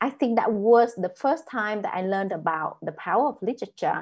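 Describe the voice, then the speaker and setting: Against a quiet background, a woman speaks with a Vietnamese accent. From northern Vietnam. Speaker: author. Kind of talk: panel discussion. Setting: video call.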